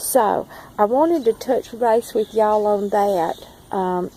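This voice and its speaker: At a very slow pace, a woman with a fairly high pitch and a strong Southern US accent speaks with ordinary pitch variation. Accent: strong Southern drawl. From Southern United States. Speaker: forager and plant grower. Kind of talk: casual talk to camera. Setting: outdoors.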